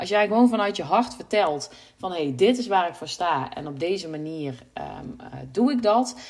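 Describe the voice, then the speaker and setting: Amid noticeable background noise, a woman speaks at a moderate pace and medium pitch, with very wide pitch swings and big swings in loudness. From Brabant, Netherlands. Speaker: website designer and podcast host. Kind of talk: solo podcast monologue. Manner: hesitant, many filler sounds.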